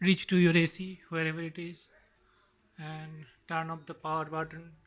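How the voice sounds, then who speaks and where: A man speaks in a flat, monotone way at a moderate pace, his pitch fairly high. His loudness swings widely against a quiet background. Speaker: DIY video maker. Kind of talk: tutorial. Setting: at home, filming on phone. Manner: halting.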